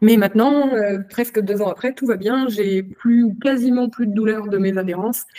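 Fairly high in pitch, a woman talks with hardly any pauses and fairly even intonation. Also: moderate pace. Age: 20s. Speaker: lab technician and adult content creator. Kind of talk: interview testimony. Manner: hesitant, frequent fillers.

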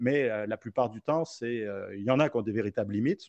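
In a dry, close sound with no echo, a man with an unremarkable speaking voice talks at a fairly quick pace with ordinary pitch variation. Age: 40s. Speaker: ultrarunner. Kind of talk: casual interview.

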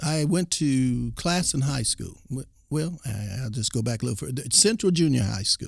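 A man with an American accent, medium-pitched and somewhat breathy, at a moderate pace with lively intonation. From Texas Panhandle, then Oklahoma. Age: 60s. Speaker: former college football player. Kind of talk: interview.

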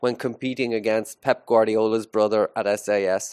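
A man with an Irish accent and a medium-pitched voice, in a dry, close sound with no echo. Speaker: school podcast host, teacher. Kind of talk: casual chat. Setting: school studio, live.

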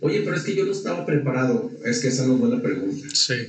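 A man speaks with ordinary pitch variation. The room echo is audible, and background noise is noticeable. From Mexico. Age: 40s. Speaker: entrepreneur and leadership speaker. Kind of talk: casual interview. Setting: studio.

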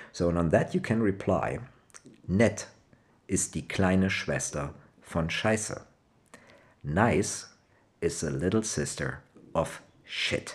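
A man with a Rhineland accent, a very deep, low pitch and ordinary pitch variation, at a very slow pace with long, frequent pauses. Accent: Rhenish German accent in English. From Germany, Cologne. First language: German. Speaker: language podcast host. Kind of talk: casual language lesson. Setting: home living room.

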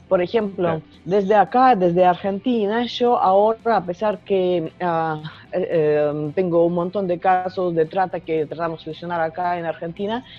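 This woman has a medium pitch and ordinary pitch variation. She goes at a fairly slow pace with hardly any pauses. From Russia. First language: Russian (speaking Spanish). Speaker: journalist and writer. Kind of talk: interview. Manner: halting.

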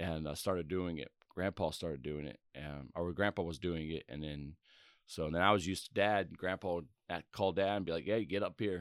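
At a fairly quick pace, a man with a very deep, low pitch and ordinary pitch variation is heard in a very clean recording with a silent background, dry and close with no echo. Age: 30s. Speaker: church member. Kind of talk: testimony.

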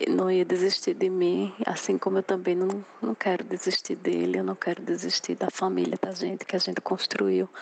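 Noticeable noise sits behind a woman talking at an even, moderate speed. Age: 40s. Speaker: businesswoman. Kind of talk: testimony.

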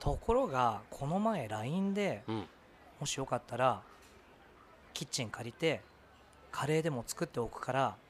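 A man speaks at a moderate pace in a fairly high pitch, with very wide pitch swings. He takes long, frequent pauses. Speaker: podcast co-host. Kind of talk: casual chat.

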